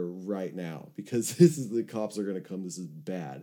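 With a Californian accent, a man speaks at a moderate pace in a very deep, low pitch, with a dark, mellow tone and lively intonation. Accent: Californian American. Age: 30s. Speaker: recovery podcast host. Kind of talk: casual chat. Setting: video call.

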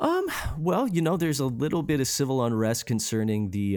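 Speaking fairly quickly in a normal speaking voice, a man uses lively intonation. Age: 30s. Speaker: punk music podcast host. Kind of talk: casual chat.

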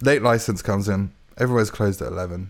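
A man with a London accent and a fairly low pitch speaks with ordinary pitch variation on a very clean recording with a silent background. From London and Hertfordshire, England. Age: 20s. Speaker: composer. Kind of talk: casual chat. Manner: halting.

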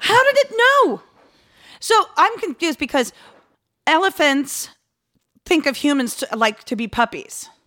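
A woman with an American accent speaks in a raised, projected voice at a high pitch and fairly slow pace, with a bright, sharp tone, very wide pitch swings and long, frequent pauses, in a dry, close sound with no echo. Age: 30s. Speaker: podcast co-host. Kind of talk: casual chat, comedic banter.

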